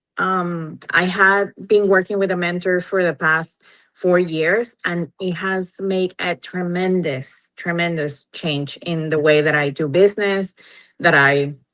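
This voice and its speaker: A woman's fairly low, bright, sharp voice with a Venezuelan accent, a fairly slow pace, and ordinary pitch variation. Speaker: entrepreneur. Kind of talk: interview.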